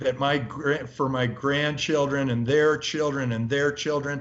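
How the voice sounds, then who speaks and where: In an American accent, a man with a fairly high pitch talks at a moderate pace in an animated tone. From US. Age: 60s. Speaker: venture capitalist. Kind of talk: interview.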